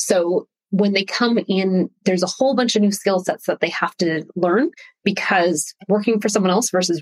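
A woman's medium-pitched, unremarkable speaking voice with a Canadian accent, fairly even intonation, and a dry, close sound with no echo. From Canada. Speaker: personal branding expert. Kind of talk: interview.

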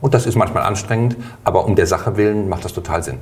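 A man talks in a fairly low pitch. His voice is somewhat breathy. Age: 50s. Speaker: health insurance board candidate. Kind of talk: interview.

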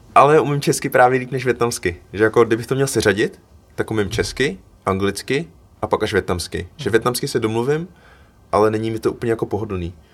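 A man talks at a fairly quick pace in a normal speaking voice. His medium pitch shows ordinary variation. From Czech Republic, Cheb, Vietnamese parents. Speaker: photographer and student. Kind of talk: casual chat.

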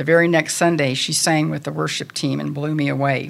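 A woman's very deep, low voice with vocal fry and an American accent, at a fairly quick pace. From Topeka, Kansas, US Midwest. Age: 60s. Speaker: church women's group speaker. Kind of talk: personal testimony. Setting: church meeting with audience.

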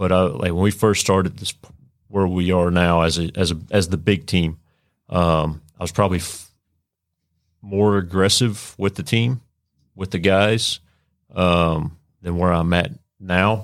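In a very clean recording with a silent background, a man with a Texan accent speaks at a fairly slow pace in a very deep, low voice, with fairly even intonation and long, frequent pauses. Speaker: police sergeant, SWAT. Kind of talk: casual chat. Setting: studio.

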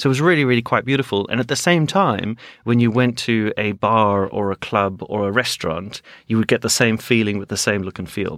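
At a fairly quick pace, a man talks in an ordinary speaking voice at medium pitch with ordinary pitch variation, in a very clean recording with a silent background. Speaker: advertising executive. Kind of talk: casual interview chat.

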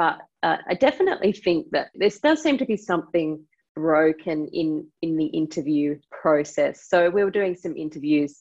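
The voice carries an Australian accent. Its pace is fairly slow. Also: woman. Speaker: fintech company co-CEO. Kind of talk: interview. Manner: halting, with frequent word repetitions.

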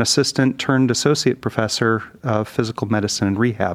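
A man with a normal speaking voice and an American accent, medium in pitch and fairly even in intonation. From US Midwest, Detroit area. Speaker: speech language pathologist. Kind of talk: interview.

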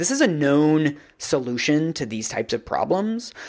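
In an unremarkable speaking voice, a man talks at a fairly high pitch with lively intonation. The recording is very clean, with a silent background. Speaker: reporter and podcast co-host. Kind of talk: casual chat.

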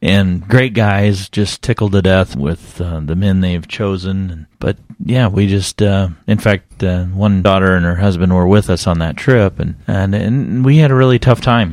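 A man's ordinary speaking voice, fairly low in pitch, at a fairly slow pace with hardly any pauses and ordinary pitch variation. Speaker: guest, church member.

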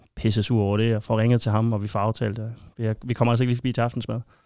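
Here a man speaks in a monotone, flat intonation with a dark, mellow tone. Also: very clean recording, silent background. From Denmark, Aarhus area. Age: 30s. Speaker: football shirt collector and fan. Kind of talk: casual interview.

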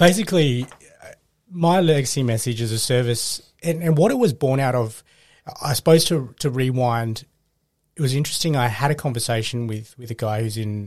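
On a very clean recording with a silent background, a man talks at a fairly quick pace in an Australian accent. His pitch is medium, with ordinary variation.

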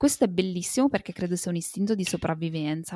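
On a very clean recording with a silent background and a dry, close sound with no echo, a woman has a normal speaking voice, fairly low in pitch with ordinary pitch variation. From Italy. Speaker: entrepreneur and mother. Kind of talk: interview testimony.

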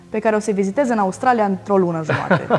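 Speech comes at a very fast pace with ordinary pitch variation. Music plays in the background. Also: woman. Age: 20s. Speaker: solo traveler. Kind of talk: casual chat. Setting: at home.

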